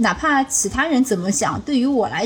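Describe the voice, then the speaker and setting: Amid noticeable background noise, a woman with a strong Shanghai accent talks at a moderate pace. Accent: strong Shanghai accent (in Cantonese). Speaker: podcast host and ICU doctor. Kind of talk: casual chat.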